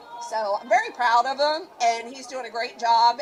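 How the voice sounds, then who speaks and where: Over noticeable background noise, a woman with a western Pennsylvania accent speaks at a fairly quick pace in an animated tone, her high pitch showing ordinary pitch variation. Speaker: rally attendee. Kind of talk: street interview.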